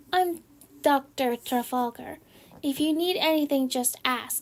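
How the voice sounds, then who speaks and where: In a put-on character voice, a woman speaks at a high pitch. Her pace is fairly slow. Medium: read story. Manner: brief and offhand.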